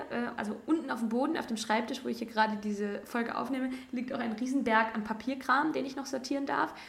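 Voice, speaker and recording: Amid noticeable background noise and audible room echo, a woman speaks very fast at a fairly high pitch with fairly even intonation. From Rhineland, Germany (between Cologne and Düsseldorf). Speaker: podcast host, student teacher. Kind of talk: solo monologue, casual personal talk. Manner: casual, many fillers.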